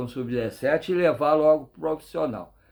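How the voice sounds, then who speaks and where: In a very clean recording with a silent background, a man talks at a fairly high pitch with ordinary pitch variation. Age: 60s. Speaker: football fan commentator. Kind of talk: casual monologue commentary. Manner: halting, repetitive.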